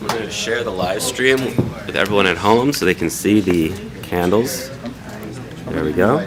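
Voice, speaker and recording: Fairly low man's voice with lively intonation and long, frequent pauses, plus audible room echo and noticeable background noise. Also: moderate pace. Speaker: rabbi. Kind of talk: religious service. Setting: synagogue service, live-streamed.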